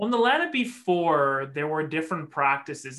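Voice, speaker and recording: A man with a Canadian accent speaks at a fairly quick pace in an ordinary speaking voice, his intonation lively. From Vancouver area, British Columbia. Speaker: immigration and refugee lawyer. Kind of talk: casual chat.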